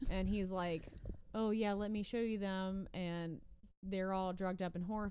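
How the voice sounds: Fairly even intonation in a natural reading voice.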